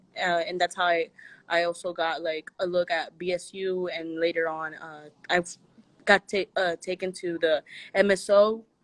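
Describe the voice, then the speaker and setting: A woman with a fairly low pitch speaks at a moderate pace in an American accent. Her intonation is monotone and flat, and the sound is dry and close with no echo. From Kansas City area, Missouri. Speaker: alumna and advocate. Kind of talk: casual interview chat.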